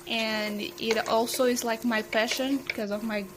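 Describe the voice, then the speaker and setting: Over noticeable background noise, a woman with a fairly high pitch speaks at a moderate pace with fairly even intonation. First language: Portuguese and Spanish. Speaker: cook. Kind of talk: self-introduction.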